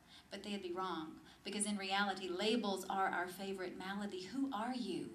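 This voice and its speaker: Hers is an unremarkable speaking voice. The woman keeps a moderate pace, and her pitch varies in an ordinary way. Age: 30s. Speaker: spoken word poet. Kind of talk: spoken word poetry performance to a live audience. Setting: live cafe audience.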